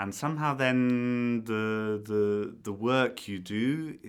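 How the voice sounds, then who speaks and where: A man with a British accent and hardly any pauses. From Britain. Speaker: conductor. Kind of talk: podcast interview. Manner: hesitant, many fillers.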